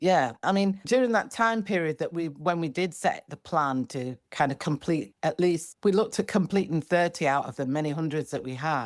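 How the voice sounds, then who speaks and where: In a very clean recording with a silent background and a dry, close sound with no echo, a woman with a Yorkshire accent and fairly low pitch speaks at a moderate pace with lively intonation. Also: hardly any pauses. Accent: Northern English (Yorkshire). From Bradford, England. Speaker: singer-songwriter. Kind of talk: podcast interview answer.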